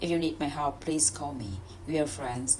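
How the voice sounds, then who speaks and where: A woman speaks at a fairly quick pace with lively intonation. Noticeable background noise can be heard. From Vietnam. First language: Vietnamese. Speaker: English learner. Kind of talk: reading aloud; casual chat. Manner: halting.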